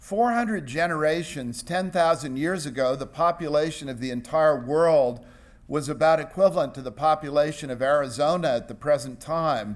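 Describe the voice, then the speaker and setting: In a normal speaking voice with an American accent, a man speaks at a moderate pace with hardly any pauses, a fairly high pitch and ordinary pitch variation, on a very clean recording with a silent background. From US West Coast, San Francisco. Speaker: environmental scientist. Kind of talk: lecture.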